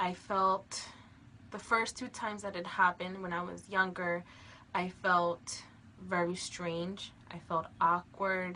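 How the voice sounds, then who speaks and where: With an American accent, a woman speaks at a very slow pace and a medium pitch in a bright, sharp tone, her intonation monotone and flat but her loudness swinging widely. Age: 20s. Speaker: abuse survivor. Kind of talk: testimony. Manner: halting, many filler ums.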